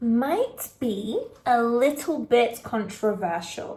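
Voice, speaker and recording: Very slow delivery in a British accent, with very wide swings in pitch. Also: woman. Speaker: English teacher. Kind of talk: casual talk to camera. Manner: slow, clear.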